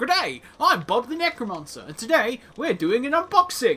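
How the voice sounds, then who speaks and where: A man puts on a character voice pitched extremely high. His pitch swings very widely at a moderate pace. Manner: cheerful, polite greeting.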